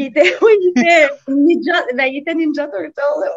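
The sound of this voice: At a fairly quick pace, a woman talks in a high voice with ordinary pitch variation.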